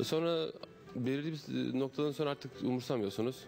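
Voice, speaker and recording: A man speaks over clear music in the background. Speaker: interviewee. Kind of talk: interview answer. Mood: calm, reflective. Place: gym. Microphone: handheld.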